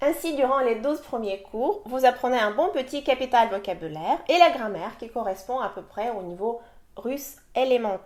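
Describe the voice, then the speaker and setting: Speaking at a moderate pace, a woman with a high pitch uses lively intonation and big swings in loudness. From Russia. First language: Russian (speaking French). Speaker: language teacher. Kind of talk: sales pitch.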